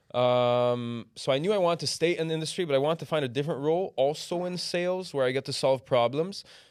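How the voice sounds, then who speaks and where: A man with a slight Canadian accent talks at a very fast pace with hardly any pauses. His pitch is fairly high, with ordinary variation. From Canada, Toronto. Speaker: business development manager at a trading tech firm. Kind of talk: podcast interview.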